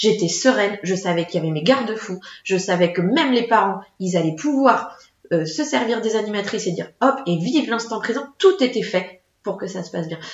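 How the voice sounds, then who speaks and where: This is a plain, everyday voice with lively intonation. It moves at a fairly quick pace. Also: woman, medium pitch for a woman. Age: 30s. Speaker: children's entertainment business owner. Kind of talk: casual interview.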